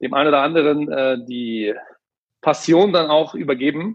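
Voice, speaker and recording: With an ordinary speaking voice and lively intonation, this man speaks at a fairly high pitch. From Ruhr area, Germany. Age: 30s. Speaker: sales manager and author. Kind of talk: interview conversation.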